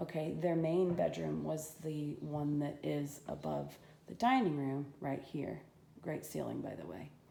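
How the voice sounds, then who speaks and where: Audible room echo surrounds a woman's voice. She speaks at a fairly slow pace. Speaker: home renovator giving a walk-through. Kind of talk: casual video walk-through. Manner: halting, with many fillers.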